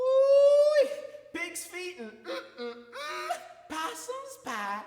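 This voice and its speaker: A put-on character voice, squeaky and at an extremely high pitch, moves at a very slow pace with clear echo. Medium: stage play. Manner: folksy, eager.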